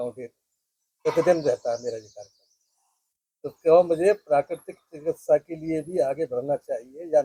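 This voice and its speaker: A high-pitched man's voice with a dark, mellow tone and ordinary pitch variation, dry and close with no echo. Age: 60s. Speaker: participant asking question. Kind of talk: question and answer.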